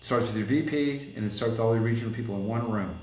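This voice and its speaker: With audible room echo, a man speaks very fast in an animated tone at a medium pitch. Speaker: collision repair shop owner and consultant. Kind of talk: podcast interview.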